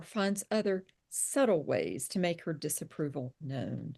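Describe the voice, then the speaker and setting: With a Southern US accent, a woman speaks at a fairly low pitch and a fairly slow pace. Her intonation is lively against a quiet background. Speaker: psychotherapist and author. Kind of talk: reading aloud; interview.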